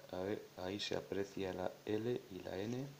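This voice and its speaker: A man's voice amid noticeable background noise. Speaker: electronics hobbyist. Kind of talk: tutorial explanation.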